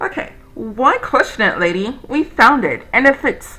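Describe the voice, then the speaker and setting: A woman speaks at a fairly slow pace with lively intonation. Music plays in the background. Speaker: video game let's player. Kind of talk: reading game dialogue aloud. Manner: stumbles over words when reading.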